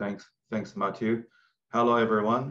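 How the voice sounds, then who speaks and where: A man with a Chinese accent. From China, northeast near Vladivostok. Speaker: tech company CEO. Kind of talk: interview. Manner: halting.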